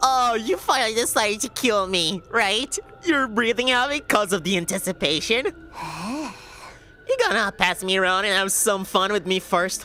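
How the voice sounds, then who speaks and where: Amid clear background noise, a nasal, put-on character voice speaks at a fairly high pitch. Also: moderate pace, hardly any pauses. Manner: taunting, sardonic.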